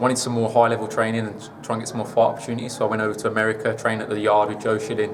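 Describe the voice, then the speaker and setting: Very fast, flat, monotone speech in a Birmingham accent, with audible room echo and noticeable background noise. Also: man, medium pitch for a man. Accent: British (Birmingham). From England, Birmingham. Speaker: kickboxer making boxing debut. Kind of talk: interview.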